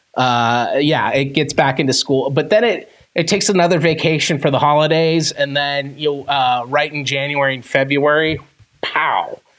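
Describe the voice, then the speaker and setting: Music plays behind a man with a fairly high-pitched voice. He keeps a moderate pace and ordinary pitch variation. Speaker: paranormal podcast co-host. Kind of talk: casual chat. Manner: loud.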